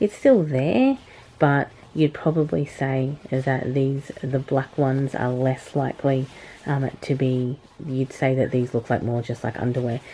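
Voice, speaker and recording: A woman with an Australian accent speaks at a very deep, low pitch with fairly even intonation. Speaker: product reviewer, video blogger. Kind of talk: product review. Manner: hesitant, many filler words.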